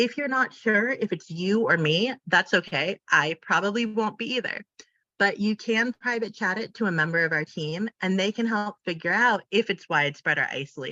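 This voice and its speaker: Lively intonation and a bright, sharp tone at a moderate pace, in a dry, close sound with no echo. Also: woman, medium pitch for a woman. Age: 30s. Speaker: independent facilitator and trainer. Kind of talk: online training presentation. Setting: video call.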